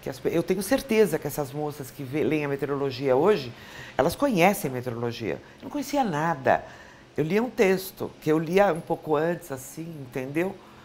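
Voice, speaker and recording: A woman's very deep, low-pitched voice at a moderate pace with lively intonation. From Brazil, São Paulo. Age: 60s. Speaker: former TV weather presenter. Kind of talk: interview.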